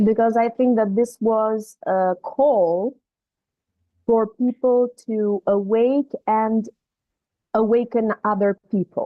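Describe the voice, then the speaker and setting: Very slowly and with long, frequent pauses, a woman speaks at a fairly high pitch, her loudness very even and her intonation fairly even. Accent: non-native. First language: not English. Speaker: participant. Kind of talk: casual group discussion. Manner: halting.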